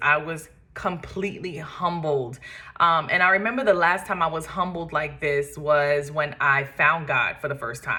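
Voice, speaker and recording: With a New York accent, a woman speaks at a fairly low pitch in a bright, sharp tone with ordinary pitch variation. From Brooklyn, New York. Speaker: podcast host and makeup artist. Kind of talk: personal testimony. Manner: casual with frequent fillers.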